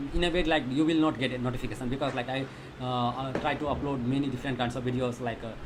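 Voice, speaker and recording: Over noticeable background noise and audible room echo, a man with a medium-pitched voice talks very fast with fairly even intonation. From India, Magadha region (Bihar). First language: Thethi (Magahi dialect); Hindi second. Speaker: software developer, live streamer. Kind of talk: live coding stream chat. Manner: hesitant, many fillers.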